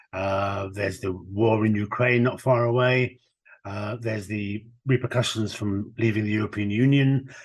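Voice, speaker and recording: Against a quiet background, a man with a Midlands accent speaks with fairly even intonation. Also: fairly low pitch for a man, moderate pace. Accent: British English, Midlands. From England, Birmingham. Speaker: former chief prosecutor and university chancellor. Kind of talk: interview. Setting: remote call.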